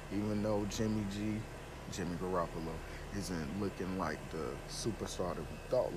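A man speaks low in pitch with a nasal sound. His pace is fairly quick, and the pitch variation ordinary.

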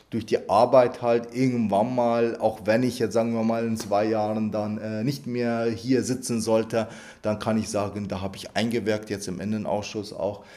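A man speaks at a moderate pace with a dark, mellow tone and medium pitch. His intonation stays monotone and flat. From Iraq, then Lower Bavaria from age 11. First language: Arabic (speaking German). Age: 30s. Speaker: member of parliament. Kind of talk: interview. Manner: hesitant, many fillers and repetitions.

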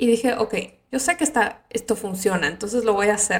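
Vocal fry at a fairly quick pace, with ordinary pitch variation. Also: woman. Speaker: podcast host. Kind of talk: casual monologue.

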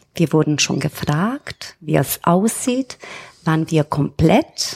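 Speaking at a very slow pace, a woman swings her pitch very widely in a dry, close recording with no echo. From Romania. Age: 40s. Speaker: bank customer service employee. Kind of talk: casual interview.

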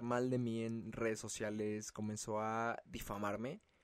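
A man talks at a very slow pace. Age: 20s. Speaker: podcast host. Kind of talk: personal monologue. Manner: casual, slangy.

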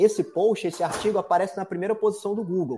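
Recorded very cleanly against total silence, the voice carries a dark, mellow tone. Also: man. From Espírito Santo, Brazil. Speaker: digital marketing consultant. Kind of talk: interview. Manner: energetic.

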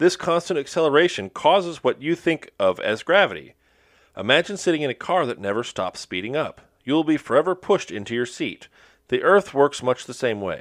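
A man talks at a fairly quick pace in a fairly high voice with vocal fry. His intonation is lively, and the background is quiet. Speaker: podcast host. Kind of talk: casual banter podcast. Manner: joking, sarcastic.

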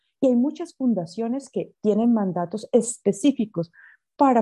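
A woman speaks in a dark, mellow tone. The recording is dry and close, with no echo. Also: quiet background. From Colombia, coffee region. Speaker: social entrepreneur, founder. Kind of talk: interview. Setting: remote call.

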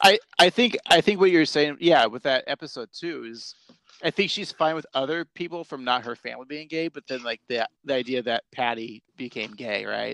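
A man with an American accent and a fairly high pitch speaks at a moderate pace with vocal fry and lively intonation, over a quiet background. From Portland, Oregon area. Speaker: podcast co-host. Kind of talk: casual chat.

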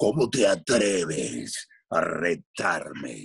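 Speaking at a very slow pace, a man puts on a character voice with a menacing tone. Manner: menacing, challenging.

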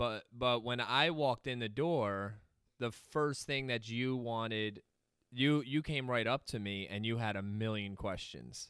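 On a very clean recording with a silent background, a man with an American accent uses a normal speaking voice at medium pitch and a fairly slow pace. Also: ordinary pitch variation. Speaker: podcast host. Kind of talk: casual chat.

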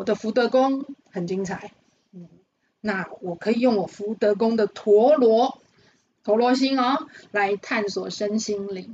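A woman with a fairly high pitch speaks very slowly, with long, frequent pauses and big swings in loudness. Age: 50s. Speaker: fortune-telling teacher. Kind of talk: interview.

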